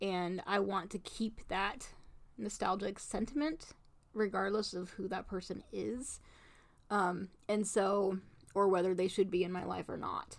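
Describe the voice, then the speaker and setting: A woman with a medium-pitched voice and vocal fry speaks at a fairly slow pace with ordinary pitch variation. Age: 30s. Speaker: podcast co-host. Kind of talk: casual chat.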